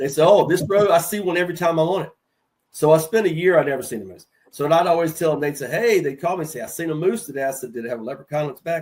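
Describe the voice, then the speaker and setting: Speaking at a very fast pace, a man with a Southern accent uses a fairly high pitch and ordinary pitch variation. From North Carolina. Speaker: HVAC sales veteran. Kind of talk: casual chat.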